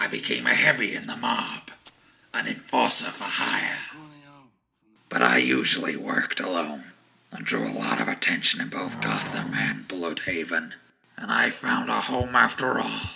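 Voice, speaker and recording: A man's raspy, put-on character voice at a very deep, low pitch, moving at a moderate pace with long, frequent pauses. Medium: audio drama. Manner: brooding, low, menacing.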